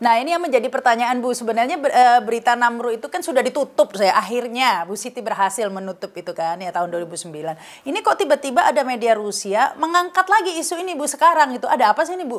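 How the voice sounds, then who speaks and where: A woman speaks at a very fast pace in a high voice, her pitch swinging very widely and her loudness rising and falling sharply. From Indonesia. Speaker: news talk show host. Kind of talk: interview. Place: home room.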